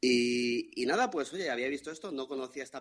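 A man with a medium-pitched voice talks at a fairly quick pace, the sound dry and close with no echo. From Madrid, Spain. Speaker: listener. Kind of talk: casual chat. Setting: video call.

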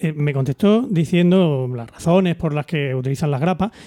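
With lively intonation and a moderate pace, a man speaks in a dark, mellow tone, the sound dry and close with no echo. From Almería, Spain. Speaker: podcast co-host. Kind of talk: casual chat among friends, humorous.

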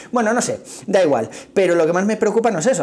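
Noticeable background noise is present. Over it, a man talks at a fairly quick pace. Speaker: running podcaster. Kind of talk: casual monologue. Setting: office meeting room.

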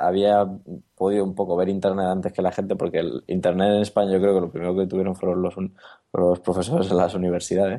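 Very fast and fairly low in pitch, a man speaks with a dark, mellow tone. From Spain, Granada (Andalusia). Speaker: startup founder and former photographer. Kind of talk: interview.

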